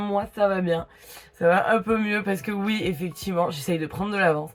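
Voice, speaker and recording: Background noise is noticeable here. A woman talks over it at a moderate pace. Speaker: beauty youtuber. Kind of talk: casual makeup review vlog. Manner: hesitant with many fillers.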